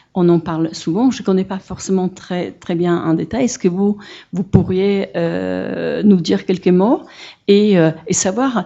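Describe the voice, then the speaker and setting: A woman's very slow speech at a medium pitch, with ordinary pitch variation and a strong non-native accent. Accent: non-native French, fairly strong. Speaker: audience member, social worker at an association. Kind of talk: Q&A question from the floor. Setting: conference hall. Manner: halting, many hesitations.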